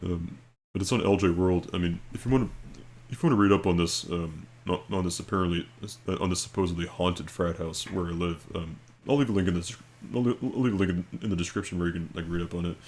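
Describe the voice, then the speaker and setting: A man talks at a very fast pace with very deep, low pitch. His pitch varies in an ordinary way. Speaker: video creator. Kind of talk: casual storytelling and reading aloud. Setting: at home late at night. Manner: speaking quietly; halting, many fillers and repeats.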